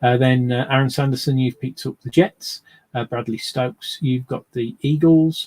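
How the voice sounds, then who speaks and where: At a moderate pace, a man with a medium pitch and a somewhat breathy voice keeps fairly even intonation, the sound dry and close with no echo. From English Midlands, near Birmingham. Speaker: sports card box breaker, streamer. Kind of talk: live stream commentary. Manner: hesitant, many fillers.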